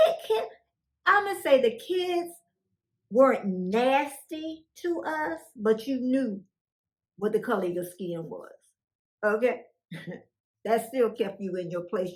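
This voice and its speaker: A woman speaks at a fairly high pitch and a very slow pace, with long, frequent pauses. Her pitch swings very widely and her loudness rises and falls a lot. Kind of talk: oral history talk to camera. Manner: casual, conversational.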